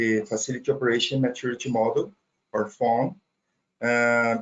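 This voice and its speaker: A man speaks with a Portuguese accent at a moderate pace, his medium-pitched voice keeping fairly even intonation. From Brazil. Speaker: data center operations trainer. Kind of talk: technical webinar presentation. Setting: online webinar. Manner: halting, with fillers and repetitions.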